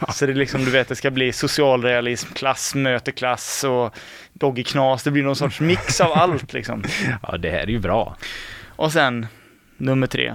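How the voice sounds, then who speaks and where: Here a man with an unremarkable speaking voice and medium pitch speaks at a moderate pace with ordinary pitch variation. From Mark municipality, West Sweden. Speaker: student radio host. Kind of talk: casual chat.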